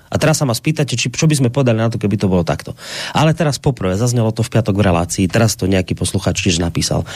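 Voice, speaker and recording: Against noticeable background noise, a man talks at a very fast pace with lively intonation. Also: medium pitch for a man. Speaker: radio host. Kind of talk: talk radio, reading listener mail.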